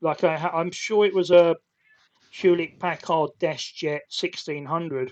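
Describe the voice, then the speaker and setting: Speaking with a British accent, a man with a high pitch goes at a fairly slow pace with fairly even intonation. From UK. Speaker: podcast host, IT consultant. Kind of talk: casual chat. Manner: halting.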